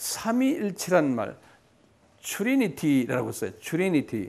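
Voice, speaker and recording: A man talks very slowly, his pitch swinging very widely. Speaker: pastor. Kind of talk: lecture. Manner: conversational, repetitive fillers.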